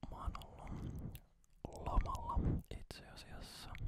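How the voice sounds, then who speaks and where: The clip features a man whispering. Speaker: ASMR creator. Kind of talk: casual talk to camera, ASMR chat about recent holiday. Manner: soft whispering, slow.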